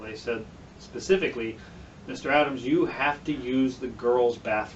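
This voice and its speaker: This man speaks at a moderate pace in an ordinary speaking voice. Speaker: political candidate. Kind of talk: explainer video.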